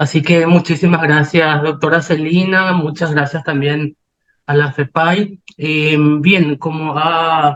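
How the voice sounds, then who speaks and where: Flat and monotone, a man's fairly high voice comes through. He speaks at a very slow pace. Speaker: philosophy researcher presenting at a conference. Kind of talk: academic conference talk.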